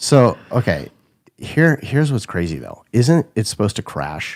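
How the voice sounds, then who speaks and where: At a fairly slow pace, a man speaks at medium pitch with vocal fry, very wide pitch swings and big swings in loudness. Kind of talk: casual chat. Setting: live stream studio.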